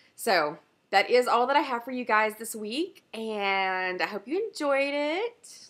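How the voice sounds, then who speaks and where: Her pitch fairly high and her intonation lively, a woman talks at a fairly slow pace in a Southern US accent. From US South. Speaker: knitting podcaster. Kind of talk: casual chat.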